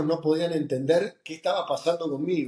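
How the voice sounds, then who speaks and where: A man's dark, mellow voice at a moderate pace. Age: 60s. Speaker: oncologist and professor. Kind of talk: interview. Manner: animated.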